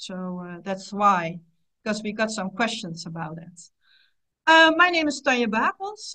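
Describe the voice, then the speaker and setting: A woman with a non-native accent speaks at a fairly high pitch, her voice swinging very widely in pitch, with a bright, sharp tone and long, frequent pauses. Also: moderate pace, big swings in loudness. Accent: non-native English speaker. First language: Dutch. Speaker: psychotherapist, webinar host. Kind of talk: webinar presentation. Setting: online webinar.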